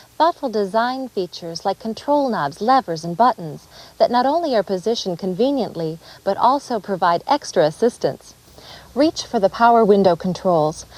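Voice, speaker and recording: In a dry, close sound with no echo, a woman with an American accent talks at a moderate pace and a medium pitch, her pitch swinging very widely. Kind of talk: corporate dealer training narration.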